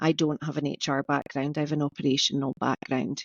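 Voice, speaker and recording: A woman speaks with a Scottish accent. Her pace is fairly quick. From Orkney, Scotland. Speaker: business coach and entrepreneur. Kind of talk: podcast interview. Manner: conversational, some repetitions.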